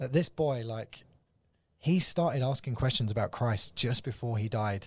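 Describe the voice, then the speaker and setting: A man with an English accent, somewhat breathy, at a moderate pace with ordinary pitch variation, on a very clean recording with a silent background. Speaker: evangelist. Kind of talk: casual chat.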